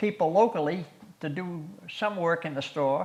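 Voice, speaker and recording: The man's high pitch moves with ordinary pitch variation. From Massachusetts, Ashby (north-central). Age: 80s+. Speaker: local resident sharing town history. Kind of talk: oral history interview. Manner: halting, with repetitions.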